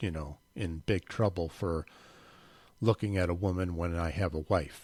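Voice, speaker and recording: The recording is very clean with a silent background. A man with a very deep, low pitch speaks at a fairly slow pace with fairly even intonation. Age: 60s. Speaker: podcast host. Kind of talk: casual monologue. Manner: unscripted, hesitant with fillers.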